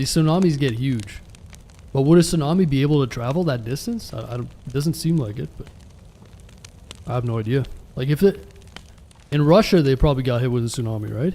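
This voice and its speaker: A man with a Canadian accent and medium pitch talks fairly quickly with lively intonation and long, frequent pauses. Noticeable background noise is present. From Canada. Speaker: live streamer. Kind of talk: casual live-stream chat while gaming. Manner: casual, conversational.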